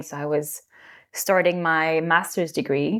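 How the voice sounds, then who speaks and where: A woman with a slight French accent and fairly low pitch, at a very slow pace, on a very clean recording with a silent background. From France. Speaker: yoga teacher. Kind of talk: interview.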